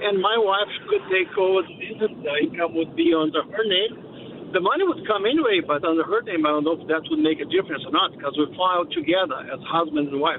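A man speaks at a very fast pace with hardly any pauses, his pitch high for a man and swinging very widely. Noticeable background noise runs underneath. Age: 60s. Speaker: small business owner. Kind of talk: phone-in question. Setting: phone call.

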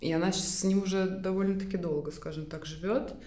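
A woman with a fairly low voice is heard in a room with audible echo. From Estonia. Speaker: graphic designer and fashion brand co-founder. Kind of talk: interview conversation.

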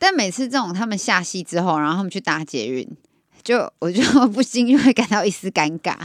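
With a dry, close sound and no echo, a woman of medium pitch talks at a fairly quick pace with very wide pitch swings. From Taiwan. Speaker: podcast co-host. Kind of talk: casual chat.

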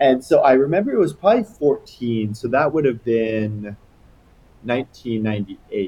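A man with an American accent speaks at a medium pitch. His pace is moderate and his intonation lively. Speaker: misophonia sufferer, landscape designer. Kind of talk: casual interview chat. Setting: remote call. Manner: loud.

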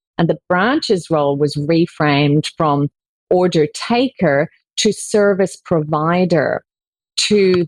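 A woman's fairly low voice at a very slow pace, with ordinary pitch variation, very even loudness, and a dry, close sound with no echo. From Ireland. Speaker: culture change consultant and author. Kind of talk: interview.

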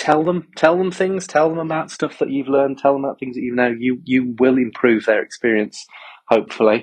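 The man's voice sits at a medium pitch, with ordinary pitch variation. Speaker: festival-goer. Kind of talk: recorded voice message. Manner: excited.

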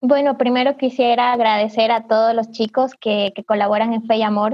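The woman's fairly high voice stays monotone and flat throughout. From southern Ecuador, Loja, Cariamanga. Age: 20s. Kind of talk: casual virtual panel chat. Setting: video call.

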